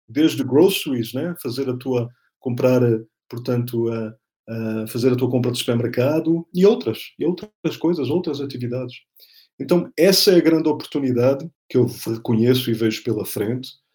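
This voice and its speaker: Speaking at a moderate pace, a man uses lively intonation at a medium pitch. His voice is somewhat breathy. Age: 40s. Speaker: political scientist and speaker. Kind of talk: interview.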